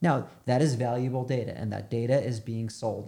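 A man speaks at a medium pitch with a dark, mellow, somewhat breathy tone and fairly even intonation, on a very clean recording with a silent background. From New York. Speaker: media agency founder. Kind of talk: interview.

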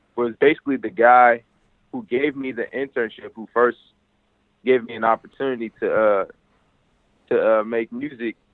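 In an American accent, the speaker moves at a moderate pace with monotone, flat intonation. Loudness swings widely, and long, frequent pauses break up the speech. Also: man, medium pitch for a man. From Chicago, US. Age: young. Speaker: hip-hop artist. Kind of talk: interview.

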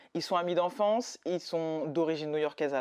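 A woman speaks at a moderate pace in a very deep, low voice against a quiet background. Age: 30s. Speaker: podcast host. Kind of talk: casual chat.

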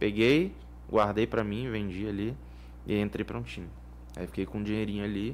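The speaker is a man with a fairly low pitch. His voice moves in very wide pitch swings. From Vitória, Espírito Santo, Brazil. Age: 20s. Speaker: professional poker player. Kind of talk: casual interview. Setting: studio.

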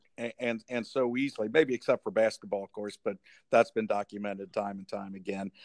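In a plain, everyday voice with an American accent, a man speaks at a medium pitch and a fairly quick pace, with big swings in loudness. The sound is dry and close with no echo, over a quiet background. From Cincinnati, Ohio. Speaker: podcast host. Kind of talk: casual interview chat.

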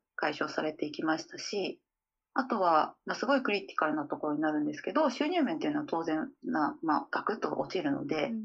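Here a woman speaks at a fairly quick pace and medium pitch. Her pitch swings very widely. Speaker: calligrapher. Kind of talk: interview conversation. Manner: hesitant, with many fillers.

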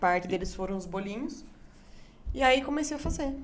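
Someone talks at a very fast pace with lively intonation, and the room's echo is audible. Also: woman. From Brazil, Itu (São Paulo interior). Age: 20s. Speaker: barbecue chef. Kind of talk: casual chat. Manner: animated.

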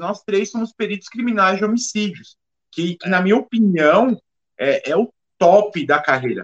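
Speech at a fairly slow pace, with ordinary pitch variation and a dry, close sound with no echo. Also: man. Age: 40s. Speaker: criminal forensic expert and podcast co-host. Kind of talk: casual chat.

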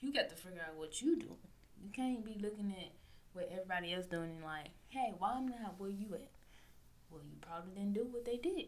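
A woman talks with a Southern US accent. Her pace is fairly quick. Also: medium pitch for a woman, lively intonation, big swings in loudness. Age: 20s. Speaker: podcast host. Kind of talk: casual solo monologue. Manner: loud.

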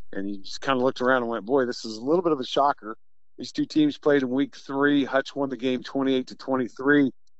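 Using a normal speaking voice, a man talks at a fairly quick pace and medium pitch, his intonation fairly even and his loudness swinging widely. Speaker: high school football radio announcer. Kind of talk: casual analysis, interview. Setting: phone call.

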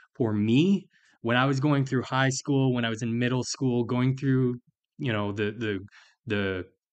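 A normal speaking voice moves at a moderate pace with ordinary pitch variation against a quiet background. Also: man. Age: 30s. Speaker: podcast host and tile setter. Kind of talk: solo podcast monologue.

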